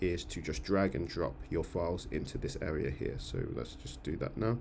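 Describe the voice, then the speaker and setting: Vocal fry runs through this dark, mellow tone, delivered at a fairly quick pace with lively intonation. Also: man. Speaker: church music team coordinator. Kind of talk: screen-share tutorial. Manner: fast; hesitant, many fillers.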